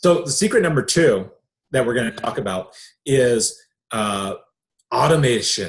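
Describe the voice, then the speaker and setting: The voice is animated and somewhat breathy, moving at a moderate pace with very wide pitch swings and long, frequent pauses. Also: man, medium pitch for a man. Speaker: online business coach. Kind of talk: sales webinar presentation.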